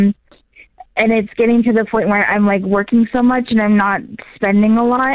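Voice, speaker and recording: She has an ordinary speaking voice. The woman's pitch is fairly high, with fairly even intonation. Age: 30s. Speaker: caller. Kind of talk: call-in advice conversation.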